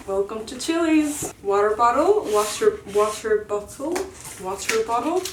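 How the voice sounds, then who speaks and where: Over noticeable background noise, a woman with an American accent speaks at a fairly slow pace, her fairly high pitch carrying lively intonation and big swings in loudness. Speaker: vlogger, university student. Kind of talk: casual vlog. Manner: animated.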